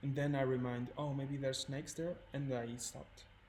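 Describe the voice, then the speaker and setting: Soft-spoken, a man talks at medium pitch. Room echo is audible. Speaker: photography student and co-host. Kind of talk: casual chat. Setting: live stream. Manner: halting.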